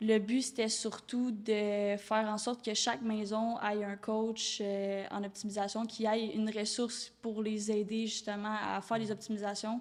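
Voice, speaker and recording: The speaker has a Quebec accent and a flat, monotone delivery at a fairly slow pace with hardly any pauses. Noticeable background noise sits behind the voice. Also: woman, fairly high pitch for a woman. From Quebec, Rive-Nord of Montreal. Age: 20s. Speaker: door-to-door sales entrepreneur. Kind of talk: podcast interview.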